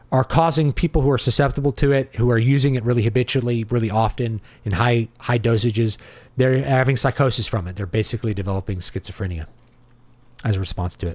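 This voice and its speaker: A man speaks very fast at medium pitch, somewhat breathy, with ordinary pitch variation. The recording is very clean with a silent background. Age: 40s. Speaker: livestream host answering chat. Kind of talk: casual livestream commentary reading chat. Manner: conversational, with filler words.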